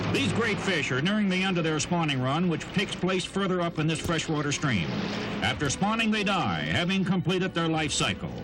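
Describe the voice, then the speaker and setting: A high-pitched man talks fairly quickly with hardly any pauses, ordinary pitch variation and very even loudness, over noticeable background noise. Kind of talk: vintage outdoor documentary narration.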